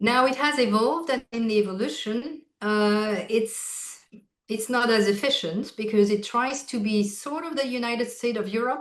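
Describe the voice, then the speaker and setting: A fairly high-pitched woman with a French accent and ordinary pitch variation. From France, Alsace. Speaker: healthcare executive. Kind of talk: interview conversation.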